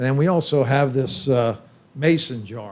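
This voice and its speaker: A man speaks at a moderate pace in a Pennsylvania accent. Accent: Pennsylvania American English. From Pennsylvania, York. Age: 60s. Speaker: brewery owner. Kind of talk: casual chat. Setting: brew pub.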